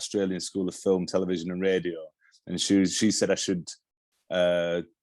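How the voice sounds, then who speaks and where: The speaker has a Yorkshire accent. The background is quiet. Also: man. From northern England, Yorkshire (Halifax). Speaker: television director. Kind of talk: interview. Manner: halting, many restarts.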